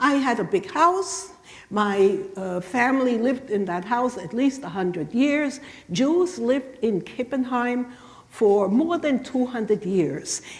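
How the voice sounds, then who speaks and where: Over noticeable background noise, a woman talks at a fairly slow pace in a high pitch, with very wide pitch swings and a German accent. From southwestern Germany. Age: 70s. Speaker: Holocaust survivor speaker. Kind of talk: lecture. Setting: church. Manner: halting.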